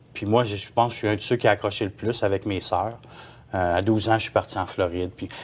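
In a monotone, flat intonation, a man with a fairly low pitch speaks at a fairly quick pace. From Quebec. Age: 40s. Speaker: former sect member; interview guest. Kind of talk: testimony; interview answer. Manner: halting. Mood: earnest, recounting personal past. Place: studio.

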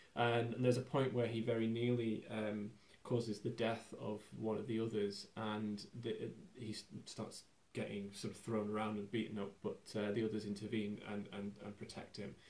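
A man's fairly low voice at a moderate pace, monotone and flat in intonation. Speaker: film commentator. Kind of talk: commentary. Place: home room.

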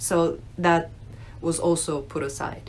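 A woman is heard with light noise in the background. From Russia, moved to US at nine. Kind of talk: personal testimony, unscripted. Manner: hesitant, many fillers. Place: home room. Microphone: phone near.

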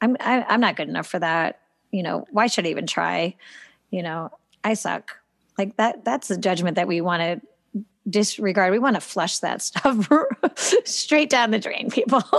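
A woman with a medium pitch and vocal fry speaks at a moderate pace. Her intonation is lively, broken by long, frequent pauses. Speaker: podcast co-host and gymnastics coach. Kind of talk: casual chat.

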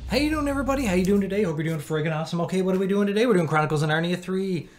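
Very wide pitch swings in a man's speech. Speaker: movie reaction YouTuber. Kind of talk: casual vlog chat. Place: home room.

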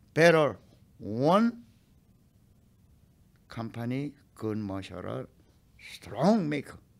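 Speaking slowly at a medium pitch, a man makes big pitch swings with vocal fry.

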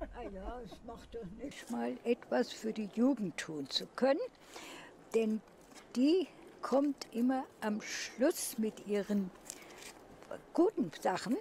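At a very slow pace with long, frequent pauses, a woman speaks with lively intonation and big swings in loudness, the sound dry with no echo and light background noise behind her. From Germany. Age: 80s+. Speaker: former sports teacher, local election candidate. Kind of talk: interview answer. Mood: critical, earnest. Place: street.

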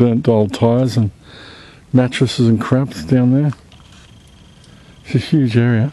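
The speech moves at a fairly slow pace over light background noise. The sound is dry, with no echo. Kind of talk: casual vlog narration. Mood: curious, slightly uneasy. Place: open country. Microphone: phone near.

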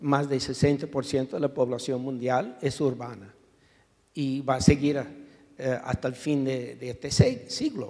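In a quiet background, a man speaks very slowly in a dark, mellow tone with monotone, flat intonation. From US, New York. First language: English (speaking Spanish). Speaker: urban planning professor, activist; urban planning professor. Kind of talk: panel discussion. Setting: auditorium with audience. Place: hall. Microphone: handheld.

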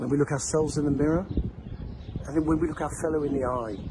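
Amid noticeable background noise, a man talks at a fairly quick pace with ordinary pitch variation in a dry sound with no echo. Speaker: religious teacher. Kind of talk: short inspirational talk. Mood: warm, cheerful. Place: street. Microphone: phone near.

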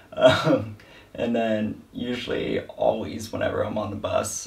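A man speaks at a fairly slow pace. Room echo can be heard around him. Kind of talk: interview answer. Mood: wry, amused complaining. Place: home room.

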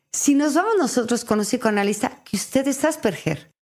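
On a very clean recording with a silent background, a woman speaks with very wide pitch swings. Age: 50s. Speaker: actress and radio host. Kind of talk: casual chat.

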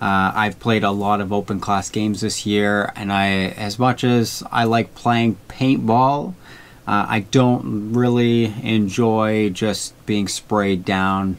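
This man speaks very slowly, his fairly low voice held to a fairly even intonation. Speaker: paintball content creator. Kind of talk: casual vlog chat.

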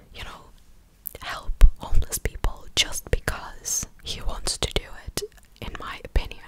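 A woman is whispering at a very slow pace. Noticeable background noise runs underneath. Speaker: commentary vlogger. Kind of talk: casual commentary. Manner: close-mic ASMR whisper. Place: home room. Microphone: studio mic.

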